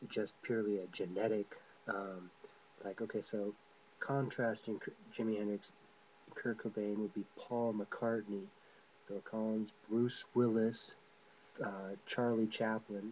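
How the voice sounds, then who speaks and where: A fairly slow, monotone American-accented voice with flat intonation and long, frequent pauses. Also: man, fairly low pitch for a man. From California. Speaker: vlogger presenting a sociology project. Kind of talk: webcam monologue presentation. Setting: webcam recording. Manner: halting, many fillers.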